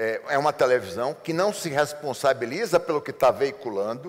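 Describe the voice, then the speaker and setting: A man speaks at a moderate pace in a fairly high pitch for a man, with very wide pitch swings. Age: 60s. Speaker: advertising executive. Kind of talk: interview. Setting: seminar.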